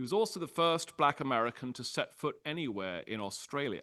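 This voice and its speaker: Against a quiet background, a man speaks in a British accent with lively intonation. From Britain. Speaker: history professor. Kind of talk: public lecture. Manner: frequent filler 'uh'.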